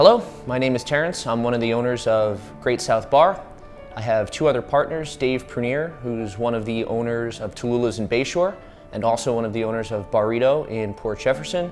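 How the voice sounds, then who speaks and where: Faint music plays in the background as a man speaks. He talks at a fairly quick pace with ordinary pitch variation. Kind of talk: interview answer. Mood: relaxed, amused storytelling. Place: bar. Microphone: lapel.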